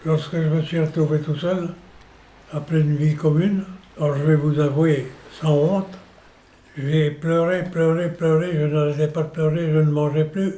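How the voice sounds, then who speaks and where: A man with a fairly high pitch speaks in monotone, flat intonation at very even loudness, leaving long, frequent pauses. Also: fairly slow pace. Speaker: senior interviewee. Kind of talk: personal testimony.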